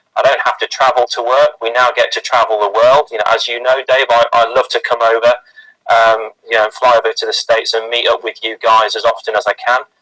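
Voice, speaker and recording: A man with a British accent speaks at a fairly quick pace. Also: dry, close sound with no echo. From UK. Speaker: sales and marketing team member. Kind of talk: team introduction testimony.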